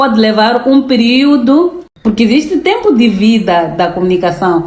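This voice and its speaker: Amid noticeable background noise, the speaker moves at a fairly slow pace, pitch swinging very widely while loudness stays very even. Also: woman, fairly high pitch for a woman. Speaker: public relations lecturer. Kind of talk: interview conversation. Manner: formal.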